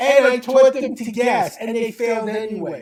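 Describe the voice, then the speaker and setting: A man speaks at an extremely high pitch with ordinary pitch variation. He talks in a New York accent. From US Northeast, Brooklyn New York. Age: 70s. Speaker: speed reading teacher. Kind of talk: interview.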